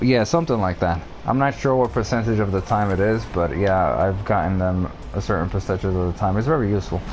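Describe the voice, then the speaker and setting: At a very fast pace, a man talks in a fairly low pitch with ordinary pitch variation while music plays in the background. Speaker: video game streamer. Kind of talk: live gameplay stream, answering chat. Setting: live stream.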